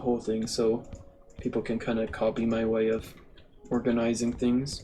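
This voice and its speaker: This man speaks at a medium pitch. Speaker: gaming YouTuber. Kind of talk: let's play commentary. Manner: halting, many fillers; casual.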